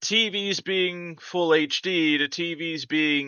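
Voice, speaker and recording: A man speaks with a Minnesota accent and ordinary pitch variation. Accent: Minnesota accent, noticeable on the word sure. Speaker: tech YouTuber. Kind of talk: casual tech explainer monologue. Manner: animated.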